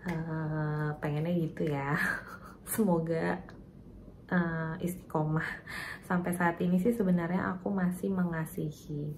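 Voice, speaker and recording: A woman speaks softly with a very deep, low voice, her intonation fairly even. She talks at a very slow pace, with audible room echo. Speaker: vlogger and mother of twins. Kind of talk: personal story vlog. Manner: soft-spoken, quiet; casual, chatty.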